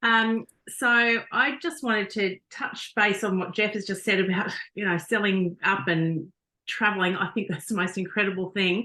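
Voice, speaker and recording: A woman's bright, sharp voice in an Australian accent, medium in pitch with ordinary pitch variation, at a moderate pace over a quiet background. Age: 50s. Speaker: network marketing team member. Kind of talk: testimony. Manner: halting.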